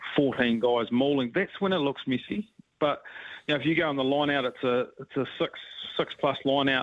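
Speaking at a moderate pace in a New Zealand accent, a man with a fairly high pitch keeps his loudness very even and uses ordinary pitch variation. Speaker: rugby coach. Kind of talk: radio interview.

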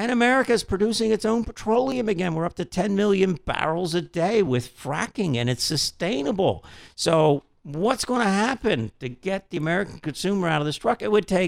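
With lively intonation at a moderate pace, a man is heard in a very clean recording with a silent background, the sound dry and close with no echo. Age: 60s. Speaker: car dealership company chief executive. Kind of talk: radio interview.

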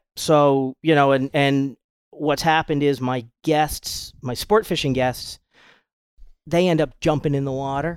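A man with an American accent uses a normal speaking voice at a fairly high pitch. He speaks at a fairly slow pace with fairly even intonation. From US Northeast, Rhode Island. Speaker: fishing boat captain. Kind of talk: casual chat.

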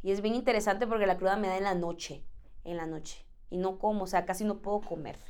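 Talking at a very fast pace, a woman with a Central American accent has medium pitch. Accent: Central American, informal. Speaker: singer. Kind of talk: casual chat. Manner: energetic.

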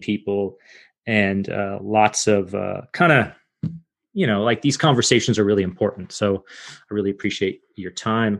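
A man's plain, everyday voice, fairly low in pitch with ordinary pitch variation, at a moderate pace over a quiet background. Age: 40s. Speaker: podcast host. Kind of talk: interview. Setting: video call.

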